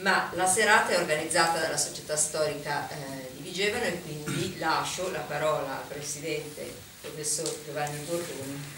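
A woman's very deep, low voice at a moderate pace, fairly even in intonation, with audible room echo and noticeable background noise. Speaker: journalist and moderator. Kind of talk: moderated panel. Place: hall.

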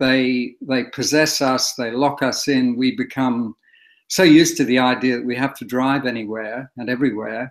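This man speaks with an Australian accent at a moderate pace and medium pitch. His intonation is fairly even, and the background is quiet. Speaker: historian and author. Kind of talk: interview. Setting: video call. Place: home room. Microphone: webcam.

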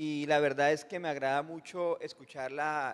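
The speaker is a man with a fairly high pitch. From Colombia. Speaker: audience member asking a question; audience member. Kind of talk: audience question. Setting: conference hall with audience. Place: hall. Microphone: handheld.

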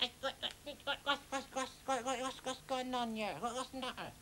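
A female-sounding voice puts on a character, pitched high for a woman at a moderate pace. Background noise is clearly audible. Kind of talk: children's TV comedy. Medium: comedy sketch. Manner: comic overacting.

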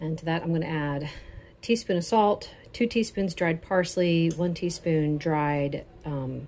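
Her voice sits fairly low, with ordinary pitch variation, and this woman has an unremarkable speaking voice. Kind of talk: tutorial. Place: kitchen.

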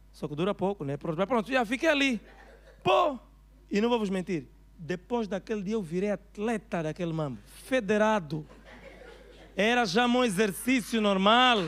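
A man with an Angolan accent, high in pitch, at a moderate pace with long, frequent pauses. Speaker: stand-up comedian. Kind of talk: stand-up comedy routine. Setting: stage with audience, live comedy club. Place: stage. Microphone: handheld.

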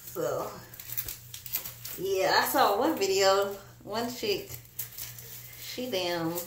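Strong room echo surrounds a woman speaking at a very slow pace, her medium pitch showing ordinary variation.

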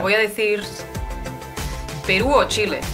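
A woman talks while clear music sounds in the background. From Spain. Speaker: YouTuber. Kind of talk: casual reaction video talk to camera. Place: home room.

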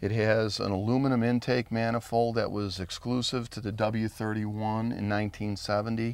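The man's monotone, flat intonation comes through in a dry sound with no echo. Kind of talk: interview answer. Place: open country.

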